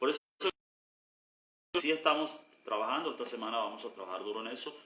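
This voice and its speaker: Talking very fast, a man with a medium pitch uses a bright, sharp tone and lively intonation. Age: 60s. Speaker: pastor. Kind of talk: casual chat. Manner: halting.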